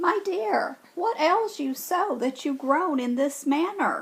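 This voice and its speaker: A put-on, squeaky character voice from a female-sounding speaker, pitched high and delivered at a fairly slow pace. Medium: read story.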